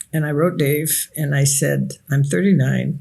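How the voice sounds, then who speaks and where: Woman's voice, very deep and low in pitch, with vocal fry. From Nigeria. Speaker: author and researcher. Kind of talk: interview. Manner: reflective storytelling.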